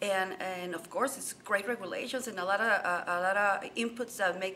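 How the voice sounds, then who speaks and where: Noticeable background noise runs under a voice with a Spanish accent. The pace is moderate and the pitch varies in an ordinary way. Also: woman. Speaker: journalist and author. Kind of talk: interview. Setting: boxing convention.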